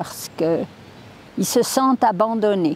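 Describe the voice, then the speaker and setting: Over noticeable background noise, a woman speaks at a very slow pace. Her medium-pitched voice has lively intonation. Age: 90s. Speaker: nursing home chaplain. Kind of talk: testimony.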